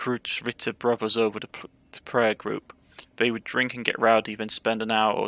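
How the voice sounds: The speaker has a natural reading voice.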